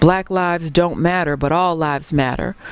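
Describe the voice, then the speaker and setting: Against noticeable background noise, a woman speaks at a fairly low pitch. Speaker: historian. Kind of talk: keynote speech.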